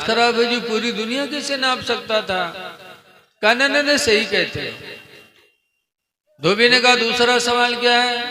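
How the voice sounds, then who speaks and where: An extremely high-pitched man speaks in a raised, projected voice. He leaves long, frequent pauses. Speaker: Islamic preacher. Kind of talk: humorous religious sermon on stage. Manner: joking storytelling.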